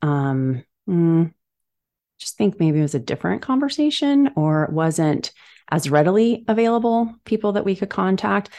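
This is an unremarkable speaking voice with lively intonation. The background is quiet. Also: woman. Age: 40s. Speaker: founder of a psychedelic wellness brand for women. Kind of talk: interview.

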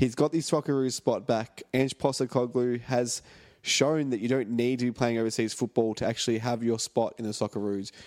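On a very clean recording with a silent background, a man with an Australian accent speaks at medium pitch and a fairly quick pace, with fairly even intonation in a dry, close sound with no echo. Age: 20s. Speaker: football fan podcast host. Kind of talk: casual chat. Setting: home studio.

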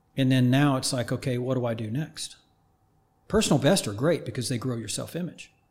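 Somewhat breathy, a man with an American accent talks at a fairly quick pace in a medium pitch with ordinary pitch variation. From Oklahoma, small town north of Tulsa. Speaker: high performance coach. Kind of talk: casual interview.

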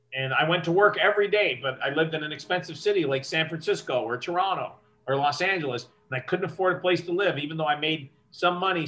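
Noticeable background noise surrounds a man speaking very fast, his fairly high pitch showing ordinary variation. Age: 50s. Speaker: concert business executive, former radio host. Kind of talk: interview. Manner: clear diction with lots of inflection.

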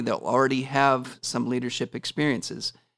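A man with an American accent speaks in a plain, everyday voice at a moderate pace, on a very clean, silent-background recording with a dry, close sound and no echo. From Washington State. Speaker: school principal. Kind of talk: interview.

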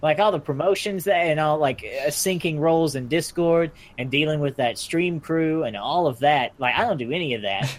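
At a moderate pace with hardly any pauses, a man speaks at a fairly high pitch with ordinary pitch variation. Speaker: podcast co-host. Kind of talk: casual chat.

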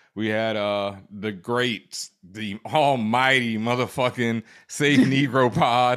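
An American-accented man speaks at a very slow pace with hardly any pauses. His pitch is medium and his intonation fairly even. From Houston, Texas. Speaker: podcast host, DJ and screenwriter. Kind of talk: casual chat.

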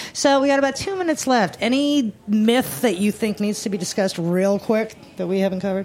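Over noticeable background noise, a woman with a fairly high pitch talks at a fairly quick pace with lively intonation and hardly any pauses. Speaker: radio host. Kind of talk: casual interview chat. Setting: studio. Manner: animated, upbeat.

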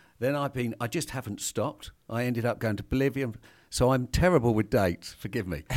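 A man with a British accent at medium pitch, fairly quick pace and ordinary pitch variation, on a very clean recording with a silent background. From Britain. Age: 50s. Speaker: hunting equipment company founder. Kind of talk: casual chat. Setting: studio.

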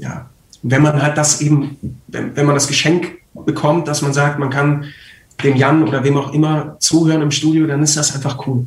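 Fairly quick, somewhat breathy speech from a man with a fairly high voice. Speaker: voice actor and trained actor. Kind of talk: casual chat. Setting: live stream.

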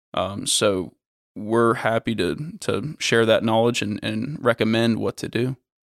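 A man with an American accent speaks at a medium pitch with ordinary pitch variation. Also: fairly slow pace, dry, close sound with no echo, very clean recording, silent background. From Florida. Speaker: construction company executive. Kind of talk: interview. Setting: in person. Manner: hesitant, many fillers.

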